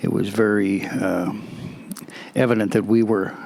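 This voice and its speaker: Against noticeable background noise, a man with a Canadian accent and fairly low pitch talks in a monotone, flat way. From Alberta, Canada. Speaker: interviewee. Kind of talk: interview. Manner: halting, many fillers.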